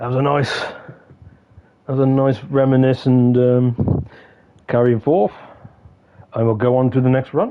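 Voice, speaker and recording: A man's medium-pitched voice in an English accent, fairly even intonation, a fairly slow pace, and noticeable background noise. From England. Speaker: gaming streamer. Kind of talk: casual chat. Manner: halting.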